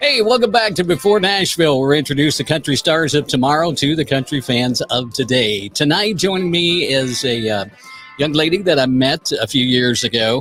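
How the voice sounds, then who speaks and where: Over music in the background, a man with a fairly high pitch speaks at a moderate pace, his intonation lively and his loudness very even. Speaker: podcast host. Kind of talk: casual interview talk.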